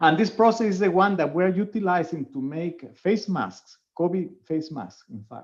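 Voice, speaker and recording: A man speaks at a moderate pace with a Spanish accent. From Venezuela. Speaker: professor. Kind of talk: webinar Q&A. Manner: hesitant, with fillers.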